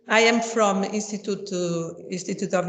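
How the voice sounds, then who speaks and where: With a Portuguese accent, a woman talks at medium pitch and a moderate pace. Her pitch varies in an ordinary way, and room echo is audible. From Portugal. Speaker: professor. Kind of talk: lecture. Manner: halting.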